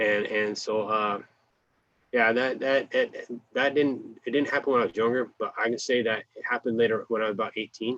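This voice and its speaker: Using a Californian accent, a man talks at a fairly quick pace. His voice sits at medium pitch with fairly even intonation. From US West (Kern County, California). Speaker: formerly incarcerated interviewee. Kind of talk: oral history interview. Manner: halting, many repetitions.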